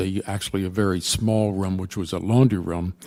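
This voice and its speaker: A man's dark, mellow voice at a fairly low pitch and moderate pace, with fairly even intonation. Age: 80s+. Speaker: architect. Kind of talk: testimony. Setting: public hearing. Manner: halting.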